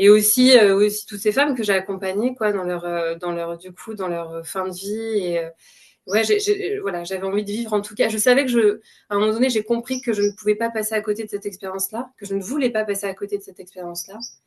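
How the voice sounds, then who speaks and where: Talking very fast at a medium pitch, a woman makes big swings in loudness. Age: 30s. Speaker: clinical psychologist, mother. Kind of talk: testimony interview. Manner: hesitant, many fillers.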